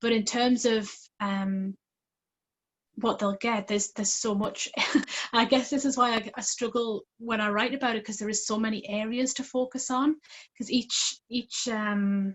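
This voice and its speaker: A woman speaks at a moderate pace with a fairly high pitch. Her voice is somewhat breathy, her intonation fairly even. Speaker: parenting coach. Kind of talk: live coaching interview. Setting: call via phone. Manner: quiet.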